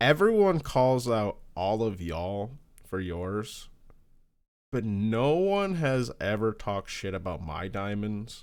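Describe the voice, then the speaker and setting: Mumbling at a very slow pace, a man with a rural US accent speaks in a fairly low pitch with lively intonation. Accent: lazy country. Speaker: podcast co-host. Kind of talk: casual chat. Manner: mumbling, clipped words.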